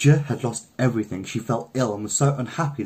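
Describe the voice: This is plain reading aloud, and the pitch shifts in an ordinary way.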